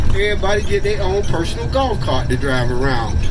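Noticeable background noise accompanies a man who speaks fairly quickly. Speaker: bus driver tour guide. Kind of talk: tour guide commentary. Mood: joking, friendly. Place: bus.

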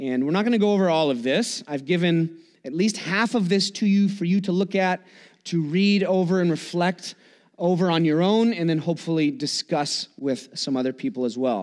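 A man talks at a moderate pace with a quiet background behind him. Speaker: pastor. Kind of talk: sermon. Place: church.

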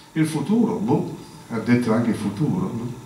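Audible room echo surrounds the speaker. A man talks with lively intonation. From a Celtic country. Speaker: linguistics professor. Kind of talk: public talk at science café. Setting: live audience. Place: hall. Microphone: podium.

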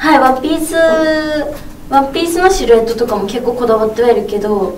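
Over light background noise and audible room echo, a woman talks at a high pitch with ordinary pitch variation. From Aomori, Japan. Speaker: TV personality. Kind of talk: press event interview answer. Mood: cheerful, warm. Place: meeting room.

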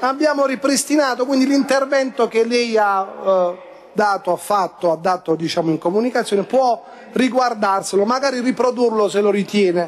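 With light background noise behind him, a man speaks at a moderate pace and high pitch with ordinary pitch variation. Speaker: city council president. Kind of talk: council meeting chairing. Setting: council chamber. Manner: formal. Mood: defensive, reassuring. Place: hall. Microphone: podium.

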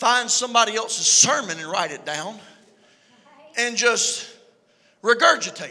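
A man with a Southern US accent speaks at an extremely high pitch and a fairly slow pace, in an animated tone. His loudness swings widely, and he takes long, frequent pauses. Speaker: preacher. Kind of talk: sermon. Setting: church. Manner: animated, preaching with call-and-response energy; conversational and joking. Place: church. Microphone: handheld.

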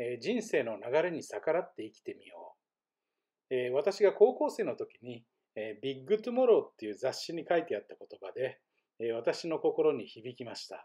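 A man talks at a moderate pace. His loudness swings widely from moment to moment. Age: 50s. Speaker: vlogger. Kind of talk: personal vlog monologue. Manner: frequent fillers.

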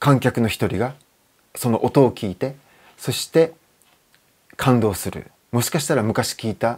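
Over a quiet background, a man talks at a fairly slow pace with ordinary pitch variation and long, frequent pauses. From Japan. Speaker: guitar maker. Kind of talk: interview. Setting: workshop. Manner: relaxed, with many fillers. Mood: calm, reflective. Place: workshop. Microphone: lapel.

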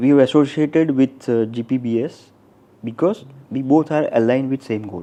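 With a dark, mellow tone, the man talks at a medium pitch and ordinary pitch variation. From Gujarat, Gandhinagar. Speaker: software company director. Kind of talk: interview. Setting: studio.

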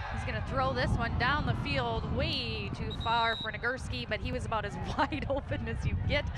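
The talking moves at a moderate pace. Behind it, background noise is noticeable. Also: woman. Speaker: play-by-play announcer. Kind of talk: live sports commentary. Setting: TV broadcast.

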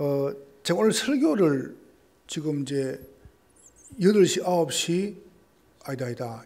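A man's fairly high voice, very slow pace, lively intonation, and long, frequent pauses. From Gyeongsang region, South Korea. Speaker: pastor. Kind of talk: sermon. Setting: church. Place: church. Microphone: podium.

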